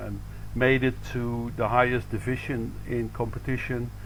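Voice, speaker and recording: A man at a moderate pace with audible room echo. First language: Dutch. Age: 60s. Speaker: badminton coach. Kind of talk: interview. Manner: hesitant, many fillers.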